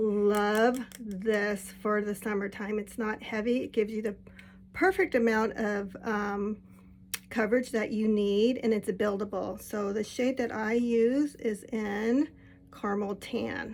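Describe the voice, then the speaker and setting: A woman with an unremarkable speaking voice talks at a fairly slow pace, her pitch fairly high and her intonation fairly even. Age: 60s. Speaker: makeup vlogger. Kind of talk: tutorial. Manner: casual, conversational.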